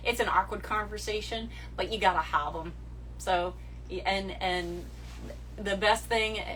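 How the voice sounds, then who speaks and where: Audible room echo surrounds a woman who speaks at a moderate pace with a slight New England accent. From New England, US. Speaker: social media model. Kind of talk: livestream chat answering viewer questions. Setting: Instagram live stream. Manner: direct.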